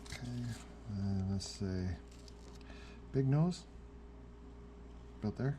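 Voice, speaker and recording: A man speaks with a very deep, low pitch and very wide pitch swings in a dark, mellow, somewhat breathy tone. His fairly slow delivery has long, frequent pauses. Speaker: hobbyist video maker. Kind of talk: casual tutorial narration. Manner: halting, filler-heavy.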